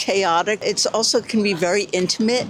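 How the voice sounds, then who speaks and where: Medium-pitched woman in a New York accent, ordinary pitch variation, noticeable background noise. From New York City. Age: 70s. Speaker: interviewee. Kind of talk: street interview.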